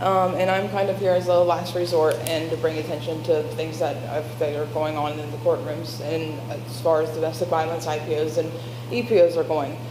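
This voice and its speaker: Over noticeable background noise and audible room echo, a woman speaks with an American accent at a moderate pace. Her pitch is very deep and low, with ordinary variation. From Covington, Kentucky. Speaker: public commenter at city meeting. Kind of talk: public comment testimony. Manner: halting, repeats and restarts words.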